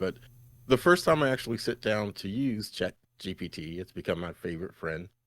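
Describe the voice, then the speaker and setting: In a very clean recording with a silent background, a man with an unremarkable speaking voice talks fairly quickly at a fairly low pitch, with ordinary pitch variation and big swings in loudness. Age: 60s. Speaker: talk show co-host. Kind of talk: casual chat.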